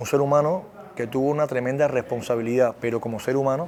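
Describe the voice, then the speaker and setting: A man with a Cuban accent speaks fairly quickly at a medium pitch with ordinary pitch variation. Music plays in the background. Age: 30s. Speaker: actor. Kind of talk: interview.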